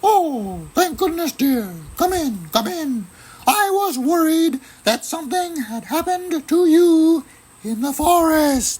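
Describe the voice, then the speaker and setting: Speaking fairly slowly, a man performs a put-on character voice pitched extremely high. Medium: read story.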